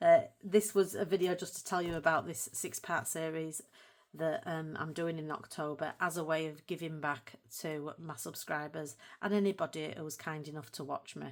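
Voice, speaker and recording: In a Yorkshire accent, a woman with a very deep, low voice talks at a moderate pace and with fairly even intonation on a very clean recording with a silent background. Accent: broad Yorkshire. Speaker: colouring hobby YouTuber. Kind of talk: casual video talk to viewers.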